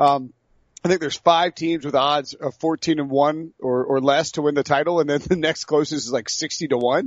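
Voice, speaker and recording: At a moderate pace, a man with a fairly high pitch talks in a normal speaking voice with fairly even intonation. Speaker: sports podcast host. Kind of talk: casual chat.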